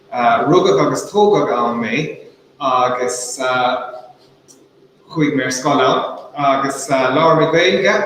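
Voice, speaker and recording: Very slow speech from a man with a fairly high pitch and ordinary pitch variation, with audible room echo and noticeable background noise. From Ireland, Waterford Gaeltacht. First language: Irish. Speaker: author. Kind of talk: talk to students. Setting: online video call. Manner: hesitant, many fillers.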